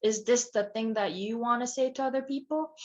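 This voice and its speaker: This is a woman speaking with a Korean accent. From South Korea, Seoul. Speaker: ceramic artist. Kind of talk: lecture Q&A. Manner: halting.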